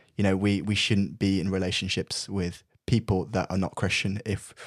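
The recording is very clean, with a silent background. A man with a British accent speaks at a moderate pace and a fairly low pitch. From UK, Brazilian family. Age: 20s. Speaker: student. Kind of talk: casual chat.

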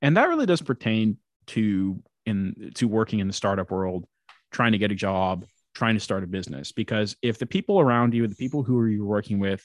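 The recording is dry and close with no echo and a quiet background. A man with a fairly low pitch and ordinary pitch variation speaks at a moderate pace. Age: 20s. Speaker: podcast host. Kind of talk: casual chat. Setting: remote recording.

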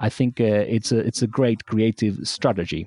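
A man's dark, mellow, medium-pitched voice in a dry, close sound with no echo, over a quiet background. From Argentina. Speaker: musician. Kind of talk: interview. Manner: halting.

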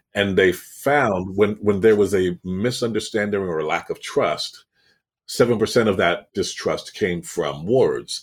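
A man speaking at a fairly slow pace, on a very clean recording with a silent background. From Canada, Toronto. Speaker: public speaking coach and actor. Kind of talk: interview.

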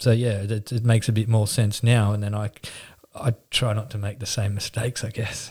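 A man with an Australian accent speaks in a fairly low, somewhat breathy voice with monotone, flat intonation. The recording is very clean, with a silent background. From Newcastle, New South Wales, Australia. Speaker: painting company owner. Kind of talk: interview.

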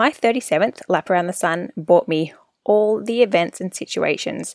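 Dry and close with no echo, a woman's voice comes through warm and upbeat, with lively intonation and vocal fry. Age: 30s. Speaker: wellness podcast host. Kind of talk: solo podcast monologue, personal reflection. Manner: warm, conversational, upbeat.

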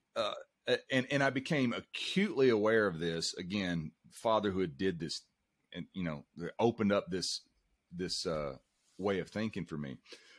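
Here is a man with an unremarkable speaking voice, fairly low in pitch, with lively intonation at a moderate pace. The recording is very clean and dry, with a silent background and a close sound with no echo. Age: 50s. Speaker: performing strongman and coach. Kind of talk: interview.

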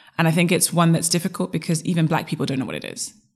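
A woman's very deep, low pitch with vocal fry and ordinary pitch variation. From Zimbabwe. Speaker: identity coach. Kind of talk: interview conversation.

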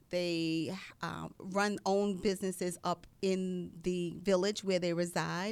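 A plain, everyday voice from a woman with an American accent, medium in pitch with fairly even intonation, on a very clean recording against a silent background. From New York City (Queens). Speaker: social work professor. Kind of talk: radio interview.

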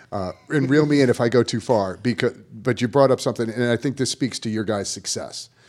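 A man speaks at a fairly quick pace in an ordinary speaking voice of medium pitch, with ordinary pitch variation. The recording is very clean, with a silent background. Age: 50s. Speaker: tennis coach, podcast co-host. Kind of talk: podcast conversation.

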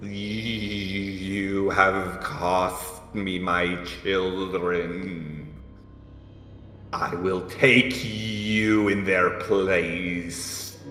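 Using a put-on character voice, a man speaks at a very slow pace with a very deep, low pitch. There is a clear echo. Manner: menacing.

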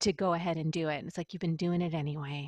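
Monotone, flat female speech in an American accent, with a dry, close sound with no echo and a quiet background. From Western New York (Buffalo area). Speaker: business coach and audio producer. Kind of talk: interview.

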